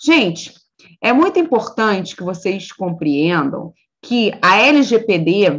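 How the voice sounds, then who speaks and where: Very slowly, this voice moves through very wide pitch swings. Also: woman, medium pitch for a woman. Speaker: law professor.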